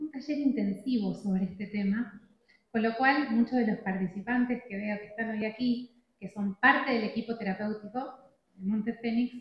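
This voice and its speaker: Moderate pace and fairly even intonation. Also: woman. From Argentina. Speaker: addiction treatment specialist speaker. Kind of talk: conference talk.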